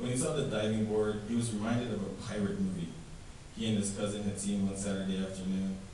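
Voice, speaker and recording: Noticeable background noise sits behind a man speaking fairly quickly at a fairly low pitch. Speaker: author. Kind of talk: fiction reading. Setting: live reading event.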